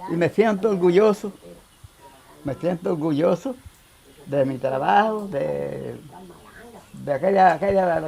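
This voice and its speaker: Over noticeable background noise, a man speaks in a high pitch with ordinary pitch variation. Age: 80s+. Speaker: farmer. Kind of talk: interview. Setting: at home in the countryside.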